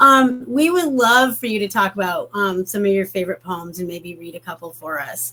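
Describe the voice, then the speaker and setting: A woman's medium-pitched voice with lively intonation and big swings in loudness, at a moderate pace with hardly any pauses, over noticeable background noise. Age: 50s. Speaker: book club host. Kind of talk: casual interview chat. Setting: live stream.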